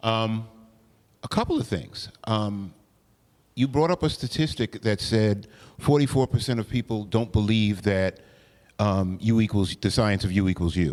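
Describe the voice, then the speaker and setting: A man speaks at a moderate pace with a fairly low pitch and ordinary pitch variation. He leaves long, frequent pauses. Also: very clean recording, silent background. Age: 60s. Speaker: panelist living with HIV. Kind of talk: community discussion.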